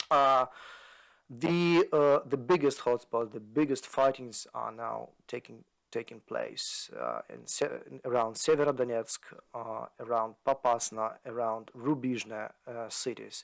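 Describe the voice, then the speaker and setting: Speaking at a fairly slow pace with a Ukrainian accent, the man swings widely in loudness. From Ukraine. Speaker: analyst, podcast co-host. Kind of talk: podcast discussion. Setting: video podcast. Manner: halting, many fillers.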